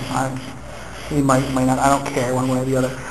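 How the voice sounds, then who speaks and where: Very fast speech rushes by over noticeable background noise. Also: man. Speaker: university lecturer. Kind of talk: seminar lecture. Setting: classroom. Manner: stuttering.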